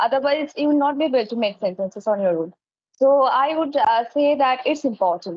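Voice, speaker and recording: A woman speaks in a Bengali accent at a fairly quick pace. Her voice is high, with lively intonation. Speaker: English teacher. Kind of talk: casual chat. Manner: hesitant, many fillers.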